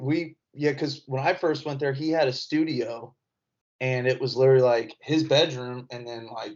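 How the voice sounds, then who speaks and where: In a Southern accent, a man with a fairly high pitch talks with fairly even intonation. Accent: Southern-sounding, often taken for Texas. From Indiana. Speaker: comedian. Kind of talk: casual chat.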